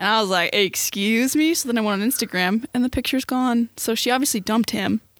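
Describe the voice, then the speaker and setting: A woman talks at a fairly quick pace in a normal speaking voice with fairly even intonation. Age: 20s. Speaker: podcast co-host, student photographer. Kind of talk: casual chat.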